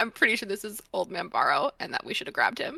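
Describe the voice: A woman does a raspy, put-on character voice at a fairly high pitch and a very fast pace. The sound is dry and close, with no echo.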